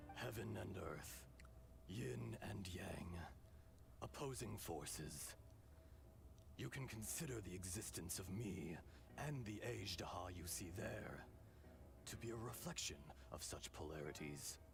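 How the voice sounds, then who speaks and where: Putting on a character voice, a man speaks in a calm tone with very deep, low pitch at a fairly slow pace, leaving long, frequent pauses over loud background noise. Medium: video game. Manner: calm, measured, wise.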